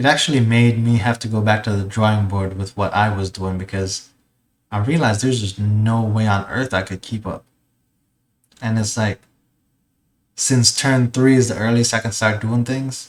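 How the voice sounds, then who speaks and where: A man's fairly low voice at a moderate pace, fairly even in intonation, with long, frequent pauses, in a very clean recording against a silent background. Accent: Jamaican. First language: Jamaican Patois. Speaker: gaming content creator. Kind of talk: casual video intro.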